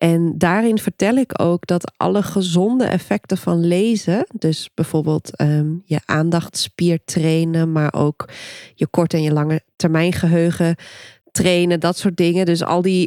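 Her dark, mellow voice moves at a fairly slow pace, with very even loudness and fairly even intonation from this woman. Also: fairly low pitch for a woman, dry, close sound with no echo. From Friesland, Netherlands. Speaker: podcast host, book coach. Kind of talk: casual interview chat.

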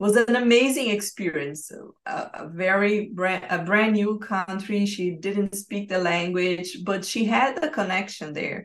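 Talking at a fairly slow pace, a woman goes on with hardly any pauses. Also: medium pitch for a woman, ordinary pitch variation. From Brazil. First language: Portuguese. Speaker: life and business coach. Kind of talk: interview. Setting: remote call.

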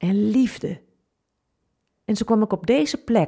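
A woman's fairly high voice, dark and mellow in tone, with lively intonation. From Twente, eastern Netherlands. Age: 50s. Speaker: funeral officiant and podcaster. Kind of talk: personal testimony podcast.

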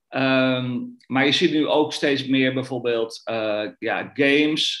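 A man is speaking at a medium pitch. His intonation stays fairly even. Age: 40s. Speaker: trader. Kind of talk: interview. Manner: halting, many fillers.

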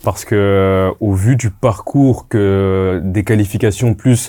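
A man's dark, mellow voice carries a fairly low pitch. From Congolese heritage. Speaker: football pundit. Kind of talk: casual football talk show. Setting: studio.

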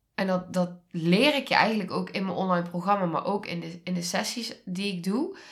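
Pitch rises and falls in an ordinary way in this somewhat breathy voice. The delivery runs at a fairly quick pace. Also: woman, medium pitch for a woman. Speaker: podcast host and trauma coach. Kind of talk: solo podcast monologue. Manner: warm.

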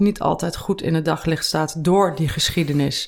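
A woman talks with a normal speaking voice, fairly low in pitch, with ordinary pitch variation. Her pace is moderate, and the recording is very clean with a silent background. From Netherlands, Veluwe (Gelderland). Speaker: finance author and entrepreneur. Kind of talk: casual interview. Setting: in person.

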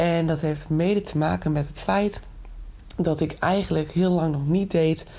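With a dark, mellow tone, a woman speaks at a fairly low pitch and a moderate pace, using ordinary pitch variation. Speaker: podcast host, entrepreneurship and personal development coach. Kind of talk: solo monologue podcast. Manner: casual, enthusiastic, mixes in English phrases.

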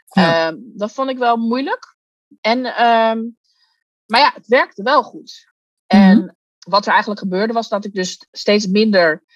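A woman's ordinary speaking voice, fairly high in pitch, with ordinary pitch variation, big swings in loudness, a fairly slow pace, and a dry, close sound with no echo. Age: 40s. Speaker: coach. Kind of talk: interview.

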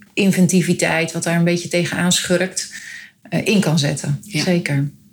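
Here is a woman with an ordinary speaking voice. Her pitch is medium. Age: 50s. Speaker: foundation coordinator. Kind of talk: interview.

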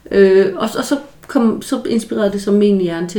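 A woman's fairly high, lively voice at a moderate pace, with noticeable background noise. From rural Denmark. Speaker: psychologist podcast host. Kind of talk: solo educational talk. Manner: halting with repetitions.

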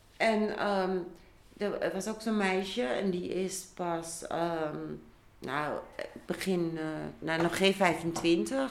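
Noticeable background noise sits behind a woman speaking at a very slow pace. Her pitch is medium, with ordinary variation. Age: 60s. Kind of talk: casual chat.

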